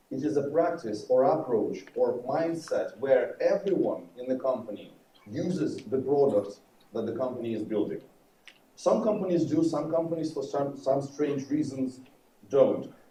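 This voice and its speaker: A man's fairly high voice with a dark, mellow tone, ordinary pitch variation and a moderate pace, in audible room echo. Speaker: conference speaker, developer advocate. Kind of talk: conference talk. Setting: stage with audience. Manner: loud.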